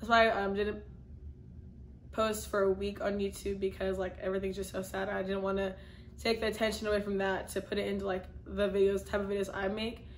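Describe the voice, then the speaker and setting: Audible room echo surrounds a woman speaking at a medium pitch in a monotone, flat intonation. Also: fairly quick pace. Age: 20s. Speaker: YouTuber. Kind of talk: casual Q&A vlog. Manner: casual, filler-heavy.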